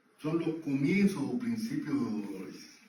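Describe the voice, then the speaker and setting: Over noticeable background noise and audible room echo, a man speaks at a fairly slow pace in a fairly high pitch with very wide pitch swings. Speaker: lay preacher. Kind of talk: church teaching.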